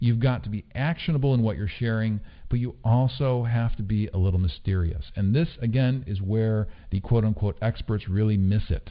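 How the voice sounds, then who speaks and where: A man talks at a fairly quick pace with ordinary pitch variation. His pitch sits in the medium range. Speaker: online marketing trainer. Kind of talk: online course lecture. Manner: fast.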